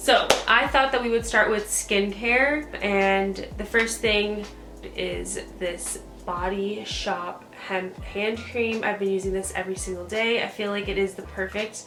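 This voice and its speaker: A woman speaks at a fairly slow pace. Audible room echo surrounds her voice, and music plays in the background. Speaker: beauty vlogger. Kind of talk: casual product review monologue. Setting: home at night.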